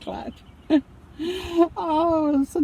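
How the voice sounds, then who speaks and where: A woman talks with a Southern US accent. Noticeable background noise can be heard. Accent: US South. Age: 70s. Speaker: vlogger. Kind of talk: casual chat. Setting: in a car. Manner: halting.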